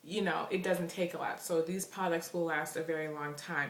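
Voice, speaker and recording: A woman speaks in a very deep, low voice with a monotone, flat delivery. Room echo is audible and background noise is noticeable. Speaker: beauty vlogger. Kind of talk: product haul review.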